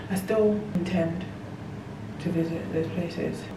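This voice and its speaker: The intonation stays fairly even. Noticeable background noise and audible room echo surround the voice. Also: woman. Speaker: lifestyle vlogger. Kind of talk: casual vlog talk to camera. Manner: whispering.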